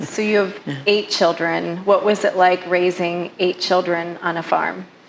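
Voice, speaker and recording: A woman talks in a monotone with flat intonation. Noticeable background noise sits behind her. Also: medium pitch for a woman, fairly slow pace. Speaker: podcast interviewer. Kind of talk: interview questions.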